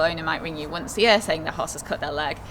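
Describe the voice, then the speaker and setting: The speaker has a Yorkshire accent. Noticeable background noise and audible room echo fill the recording. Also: woman. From Yorkshire, northern England. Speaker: equine vet. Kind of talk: interview.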